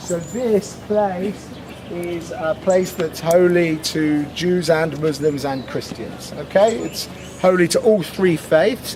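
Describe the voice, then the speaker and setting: A man's high-pitched voice with ordinary pitch variation over noticeable background noise. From Britain. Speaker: tour guide. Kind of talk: guided tour talk. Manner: loud.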